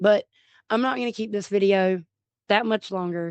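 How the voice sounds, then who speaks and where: A woman talks at a moderate pace and medium pitch, with ordinary pitch variation and a dry, close sound with no echo. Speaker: YouTuber in addiction recovery. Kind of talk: personal testimony vlog. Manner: loud, outspoken.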